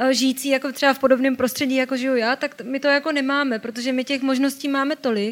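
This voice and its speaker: A woman talks very fast in a high voice. Her intonation stays flat and monotone. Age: 20s. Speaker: journalist. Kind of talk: talk show interview.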